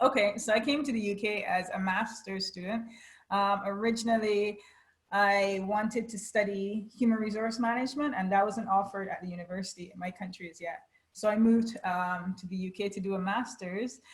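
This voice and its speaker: With fairly even intonation and big swings in loudness, a woman speaks at medium pitch in a somewhat breathy voice. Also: fairly quick pace. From Barbados. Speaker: HR lecturer and consultant. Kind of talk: interview.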